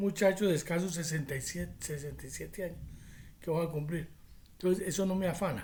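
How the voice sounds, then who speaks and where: Fairly quick and fairly even in intonation, a man speaks with a high pitch. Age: 60s. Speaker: prophecy preacher. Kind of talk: religious teaching monologue.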